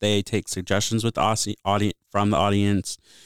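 A man with a Midwestern American accent and a fairly low pitch talks at a moderate pace, the sound dry and close with no echo, in a very clean recording with a silent background. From US Midwest, Bloomington, Illinois. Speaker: college student affairs director. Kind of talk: casual interview. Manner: hesitant, many fillers.

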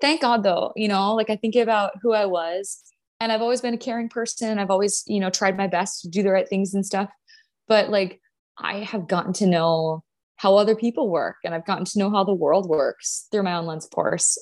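A woman with an American accent has an ordinary speaking voice, medium pitch and ordinary pitch variation at a moderate pace. The recording is very clean, with a silent background. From US Upper Midwest, North Dakota. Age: 20s. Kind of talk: podcast interview, casual chat.

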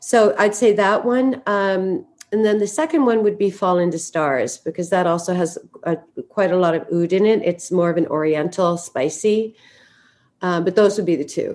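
A woman with a Canadian accent and an unremarkable speaking voice talks at a medium pitch and a moderate pace, with ordinary pitch variation. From western Canada, Vancouver. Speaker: perfume brand founder. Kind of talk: interview.

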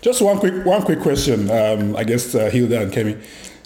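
Someone speaks at a fairly quick pace against noticeable background noise. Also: man. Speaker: podcast co-host. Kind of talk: casual interview.

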